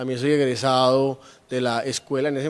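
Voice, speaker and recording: At a fairly quick pace, a man talks in an unremarkable speaking voice with a medium pitch. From Colombia, Urabá (Carepa, Antioquia). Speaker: regional politician. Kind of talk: interview. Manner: articulate, formal.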